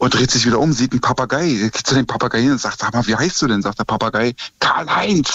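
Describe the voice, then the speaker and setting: A man speaks at a very fast pace. His medium-pitched voice has lively intonation. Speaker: taxi driver caller.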